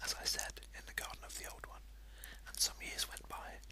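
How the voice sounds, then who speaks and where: A soft-spoken whisper in a soothing tone at a moderate pace, with noticeable background noise. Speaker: amateur video blogger who reads aloud. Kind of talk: reading aloud a short story in a whisper. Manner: whispered, soft, soothing.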